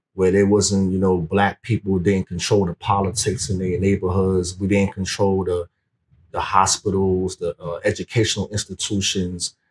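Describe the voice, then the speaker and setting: A man with an American accent speaks at a moderate pace in a very deep, low, somewhat breathy voice with monotone, flat intonation, the sound dry and close with no echo. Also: very clean recording, silent background. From Brooklyn, New York (Brownsville). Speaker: former prisoner turned youth mentor. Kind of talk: interview conversation. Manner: halting.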